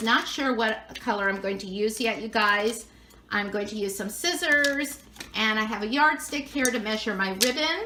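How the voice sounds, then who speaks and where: A woman's fairly high voice with an American accent, lively intonation and a moderate pace, plus audible room echo and noticeable background noise. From Southern California, near Anaheim. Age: 60s. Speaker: craft video creator. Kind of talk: tutorial; casual chat. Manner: chatty.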